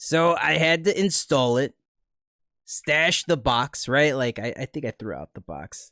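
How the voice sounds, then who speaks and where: A man with a fairly high pitch speaks fairly slowly in a bright, sharp tone, with ordinary pitch variation and big swings in loudness. The sound is dry and close with no echo, on a very clean recording with a silent background. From Cuban and Puerto Rican family, raised by Spanish-speaking grandmother. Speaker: podcast host and streamer. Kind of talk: casual chat.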